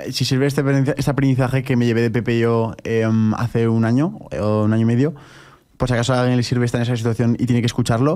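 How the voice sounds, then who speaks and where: Over a quiet background, a man with a dark, mellow tone talks at a very fast pace with fairly even intonation. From Spain. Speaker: podcast host. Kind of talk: casual chat. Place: studio. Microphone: studio mic.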